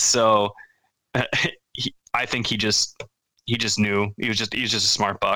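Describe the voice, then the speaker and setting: With a Wisconsin accent, a man speaks at a moderate pace and a medium pitch, his tone bright and sharp and his intonation monotone and flat. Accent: Upper Midwest (Wisconsin). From central Wisconsin. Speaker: hunter, parent. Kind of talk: casual chat.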